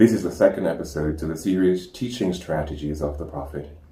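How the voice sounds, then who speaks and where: A somewhat breathy man's voice with a dark, mellow tone, a fairly quick pace and ordinary pitch variation. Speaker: Islamic educational presenter. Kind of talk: educational talk. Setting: home recording with animal sounds in background.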